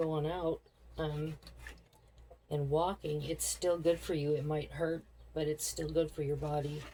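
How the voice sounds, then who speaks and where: A woman's very deep, low, somewhat breathy voice, dark and mellow in tone, with monotone, flat intonation at a fairly slow pace. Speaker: lifestyle vlogger. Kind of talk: casual cooking vlog. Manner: relaxed, chatty.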